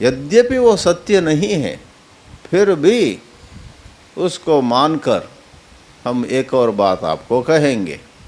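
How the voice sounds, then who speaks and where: A man with a fairly high pitch speaks with very wide pitch swings and long, frequent pauses. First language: Kannada (speaking Hindi). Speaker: spiritual teacher. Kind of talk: religious discourse on scripture. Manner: halting, self-correcting.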